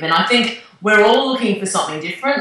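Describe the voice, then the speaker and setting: A woman speaks at a medium pitch with a North Queensland accent and lively intonation. Noticeable background noise and audible room echo fill the recording. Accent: North Queensland Australian. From Australia, North Queensland. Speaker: author. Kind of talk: interview.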